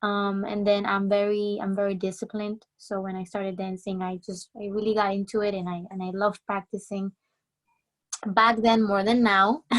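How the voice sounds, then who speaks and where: A woman's medium-pitched voice with a Spanish accent, flat and monotone in intonation, at a moderate pace. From Colombia, moved to New Jersey at ten. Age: 20s. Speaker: salsa dancer. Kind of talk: interview.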